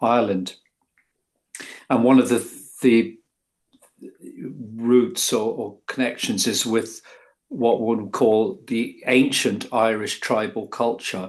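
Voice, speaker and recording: Speaking at a very slow pace in an English accent, a man leaves long, frequent pauses. His pitch variation is ordinary. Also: medium pitch for a man. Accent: sounds very English. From England. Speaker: author. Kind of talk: interview. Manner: halting, many fillers.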